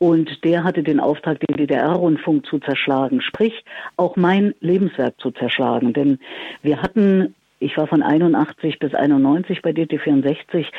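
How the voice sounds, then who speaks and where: Speaking at a very slow pace, a woman uses a very deep, low pitch with ordinary pitch variation and very even loudness. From Thuringia, Erfurt. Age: 60s. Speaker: radio presenter and communication coach. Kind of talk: interview. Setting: phone call.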